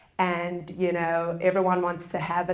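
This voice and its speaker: A woman with a South African accent, fairly low in pitch, at a moderate pace. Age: 30s. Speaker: public speaker on forgiveness. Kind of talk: public lecture.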